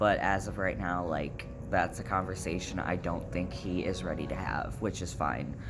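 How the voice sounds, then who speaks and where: A man speaks at a moderate pace. The room echo is audible, and music plays in the background. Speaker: vlogger. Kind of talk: casual vlog update. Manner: casual, many fillers.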